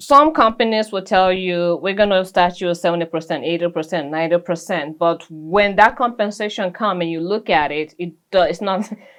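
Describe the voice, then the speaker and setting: At a fairly quick pace with hardly any pauses, a woman speaks in a non-native accent at a medium pitch. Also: ordinary pitch variation. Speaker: licensed insurance agent. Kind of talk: interview testimony.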